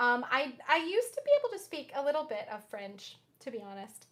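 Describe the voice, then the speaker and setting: A woman with an Oklahoma accent speaks at a moderate pace, her loudness swinging widely and her pitch swinging very widely. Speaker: jazz pianist and singer. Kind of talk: casual chat with livestream viewers. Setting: livestream concert from home.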